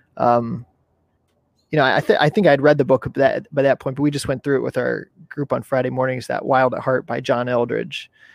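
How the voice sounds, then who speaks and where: Quick-ish and level, a man with a plain, everyday voice talks at a medium pitch, a fairly quick pace and fairly even intonation. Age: 30s. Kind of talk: casual interview. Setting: video call, outdoors.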